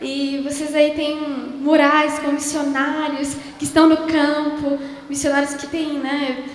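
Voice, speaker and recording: A woman with a high pitch and a warm tone speaks at a very slow pace in a monotone, flat intonation. Audible room echo and noticeable background noise fill the recording. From southern Brazil (Rio Grande do Sul). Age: young. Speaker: missionary speaker. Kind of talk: sermon. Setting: church. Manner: warm, conversational.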